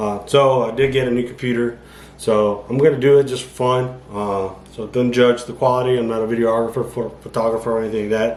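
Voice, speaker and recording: Flat, monotone delivery from a man at medium pitch, fairly quick, with audible room echo and noticeable background noise. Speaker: amateur bodybuilder vlogger. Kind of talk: casual vlog monologue. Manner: mumbling, rambling with fillers.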